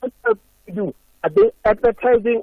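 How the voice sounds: A man speaks at an extremely high pitch and a moderate pace. His intonation is lively.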